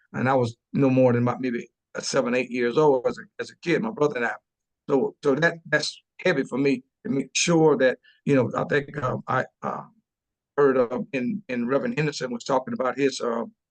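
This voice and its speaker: With a South Carolina accent, a man of medium pitch talks fairly quickly and with lively intonation. The sound is dry and close, with no echo. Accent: Southern US (South Carolina). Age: 60s. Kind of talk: webinar panel discussion. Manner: halting, many repetitions and fillers.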